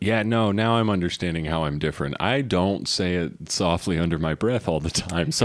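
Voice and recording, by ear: A man with a very deep, low voice keeps a moderate pace with hardly any pauses. His loudness is very even, and his pitch varies in an ordinary way.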